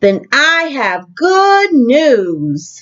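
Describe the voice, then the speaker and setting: A woman's put-on character voice, high in pitch, with very wide pitch swings. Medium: read story. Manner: calm, matter-of-fact.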